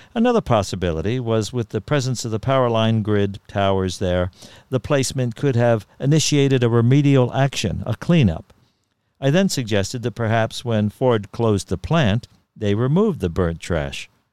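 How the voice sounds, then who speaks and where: Speaking at a moderate pace, a man has an unremarkable speaking voice at medium pitch. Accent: American. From Ramapo River area, New York. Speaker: podcast host and storyteller. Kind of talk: reading aloud a written story.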